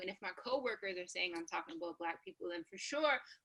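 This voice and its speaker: Medium-pitched woman's voice with an American accent and ordinary pitch variation. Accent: sounds American. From Canada. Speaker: radio personality. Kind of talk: panel discussion. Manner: casual, many fillers.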